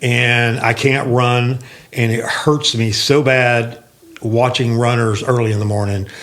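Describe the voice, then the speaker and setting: Noticeable background noise and audible room echo surround a man's voice. He speaks fairly slowly in a monotone, flat intonation. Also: medium pitch for a man. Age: 60s. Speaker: sales leader and fitness mentor. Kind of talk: casual podcast conversation.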